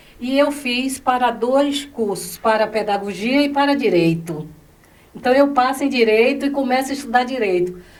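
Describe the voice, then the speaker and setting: Audible room echo fills the space. Through it a woman speaks at a high pitch. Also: lively intonation, moderate pace. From Bahia, Brazil. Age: 70s. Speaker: educator. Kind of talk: interview.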